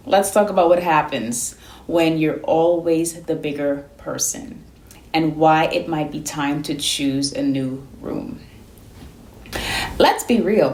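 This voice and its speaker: A woman's very deep, low voice in a calm, gentle tone, at a very slow pace, with lively intonation, long and frequent pauses, and noticeable background noise. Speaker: therapist. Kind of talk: self-help advice talk to camera. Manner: calm, gentle but firm.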